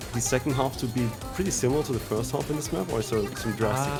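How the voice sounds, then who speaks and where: A man speaks at medium pitch, varying it in an ordinary way. Music sounds in the background. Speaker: esports commentator. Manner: hesitant, many fillers.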